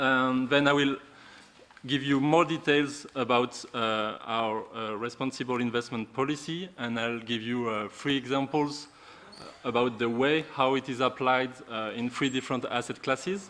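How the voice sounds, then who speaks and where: A man with a French accent speaks at a moderate pace in a bright, sharp tone, keeping his intonation fairly even. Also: medium pitch for a man. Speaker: responsible investment officer. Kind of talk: conference presentation. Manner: halting.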